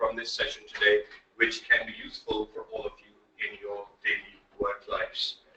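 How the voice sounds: In a bright, sharp tone, a man speaks at a moderate pace with ordinary pitch variation.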